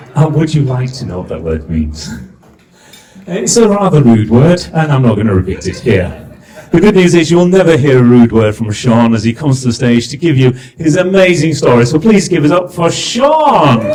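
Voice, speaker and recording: A man speaks at a moderate pace with very wide pitch swings, his voice carrying audible room echo over noticeable background noise. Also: fairly high pitch for a man. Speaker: compere, business mentor. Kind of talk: event compering to live audience. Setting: stage with audience. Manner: animated.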